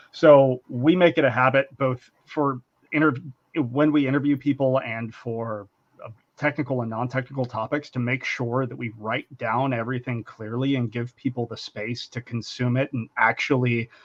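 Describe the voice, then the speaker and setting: This is a man with a plain, everyday voice at medium pitch. He speaks at a moderate pace with fairly even intonation. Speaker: engineering leader. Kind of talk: webinar panel discussion.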